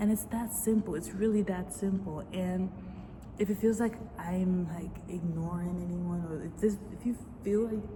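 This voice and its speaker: A woman talks at a moderate pace and medium pitch with fairly even intonation. Noticeable background noise can be heard. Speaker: vlogger. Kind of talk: casual confessional monologue. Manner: rambling, halting.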